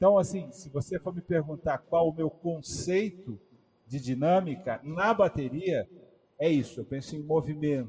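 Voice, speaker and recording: A fairly slow-paced man with a fairly high pitch, ordinary pitch variation and a dark, mellow tone. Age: 40s. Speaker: drummer and music educator. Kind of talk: casual interview on a live stream.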